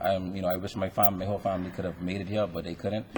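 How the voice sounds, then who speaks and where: A man with a Bahamian accent speaks in a very deep, low voice, dark and mellow in tone and somewhat breathy. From Bahamas. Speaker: retired athlete, hall of fame inductee. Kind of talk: acceptance speech. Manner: halting, many fillers.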